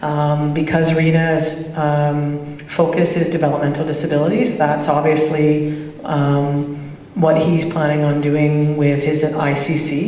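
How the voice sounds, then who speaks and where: A woman with a Canadian accent speaks at a fairly slow pace in a very deep, low pitch, with monotone, flat intonation and very even loudness, amid audible room echo and noticeable background noise. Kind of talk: roundtable discussion.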